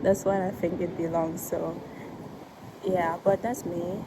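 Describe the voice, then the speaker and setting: Noticeable background noise sits behind a woman whose medium-pitched voice stays monotone and flat at a fairly slow pace. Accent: Ivorian. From Ivory Coast. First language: French. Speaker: vlogger. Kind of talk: casual vlog talk. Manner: halting, with many fillers.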